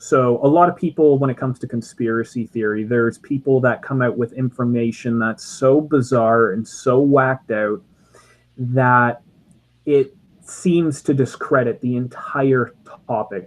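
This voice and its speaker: With a slight Canadian accent, a man speaks at a fairly slow pace, his medium pitch held in fairly even intonation. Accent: subtle Canadian. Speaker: podcast co-host. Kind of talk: casual chat. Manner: halting, many fillers.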